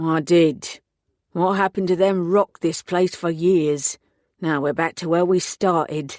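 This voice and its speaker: A gruff, put-on character voice at a middle pitch and a moderate pace. The recording is very clean, with a silent background. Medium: read story. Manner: gruff, laconic.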